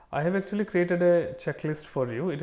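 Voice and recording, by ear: A man speaks at a fast pace with little pitch movement and a slightly mellow tone.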